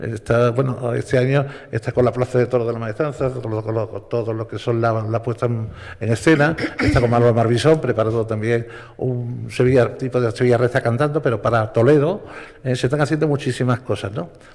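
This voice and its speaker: Against noticeable background noise, a man talks at a fairly quick pace. His pitch is medium and his intonation fairly even. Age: 70s. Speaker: radio broadcaster. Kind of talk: panel talk. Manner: halting.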